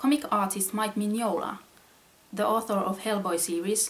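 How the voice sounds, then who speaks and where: A woman with a Finnish accent at a moderate pace, fairly even in intonation, with noticeable background noise. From Finland. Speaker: comic artist. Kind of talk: reading aloud.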